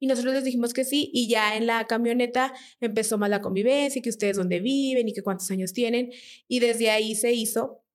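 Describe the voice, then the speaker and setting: Fairly even intonation and a fairly quick pace mark an ordinary speaking voice, recorded very cleanly against a silent background. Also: woman, fairly high pitch for a woman. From Mexico, Durango. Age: 30s. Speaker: church member sharing testimony. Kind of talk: testimony.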